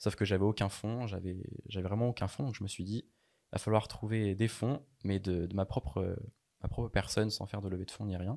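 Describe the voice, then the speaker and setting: A man speaks at a moderate pace in a fairly low pitch, with big swings in loudness. The recording is very clean and the background silent. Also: fairly even intonation. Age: 20s. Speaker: pastry chef and online entrepreneur. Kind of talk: interview. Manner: halting, many repetitions and fillers.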